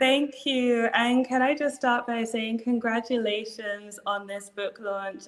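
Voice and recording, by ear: A woman with a British accent speaks at a fairly slow pace. Her intonation is fairly even.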